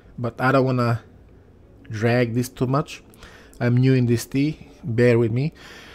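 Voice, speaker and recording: A man's fairly slow, monotone delivery with flat intonation and a non-native accent. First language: not English. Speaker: gaming youtuber. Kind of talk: gameplay commentary. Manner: hesitant.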